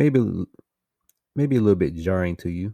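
The tone is dark and mellow. The recording is very clean, with a silent background. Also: man. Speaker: podcast host. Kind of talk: solo intro monologue, casual. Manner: monotone; dry humor, casual.

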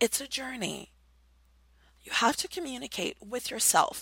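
A woman's high, bright, sharp voice at a moderate pace, animated in tone and lively in intonation, dry and close with no echo. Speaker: radio host and BDSM counselor, life coach. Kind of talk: solo monologue, advice talk.

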